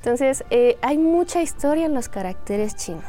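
With a dark, mellow tone, a woman speaks at a moderate pace, her pitch swinging very widely. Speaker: Chinese language teacher. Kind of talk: interview explaining language teaching.

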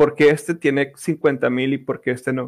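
Fairly even intonation from a man with a fairly high voice, moderately paced. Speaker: podcast host, esports content creator. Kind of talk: casual chat.

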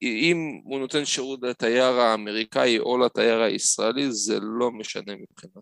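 A man with an unremarkable speaking voice talks at a moderate pace and medium pitch, with ordinary pitch variation, hardly any pauses, and big swings in loudness, in a dry, close sound with no echo. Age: 30s. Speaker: tour operator. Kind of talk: interview.

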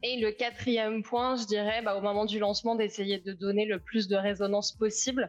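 A woman speaks at a moderate pace with hardly any pauses. Her pitch is fairly high and her intonation monotone and flat. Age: 30s. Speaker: startup founder and CEO. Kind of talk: live interview.

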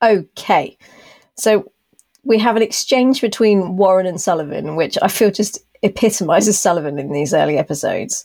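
Lively intonation carries a dark, mellow tone in a British accent. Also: woman, medium pitch for a woman, moderate pace. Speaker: podcast host. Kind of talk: casual chat.

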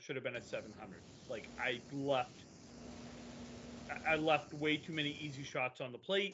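A man with a normal speaking voice talks at a fairly high pitch with ordinary pitch variation. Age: 50s. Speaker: bowler, podcast host. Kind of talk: casual chat.

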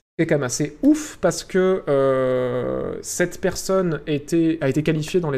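On a very clean recording with a silent background, a man's voice sits at a fairly high pitch with a dark, mellow tone. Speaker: streamer. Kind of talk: live stream commentary. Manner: animated, varying pitch.

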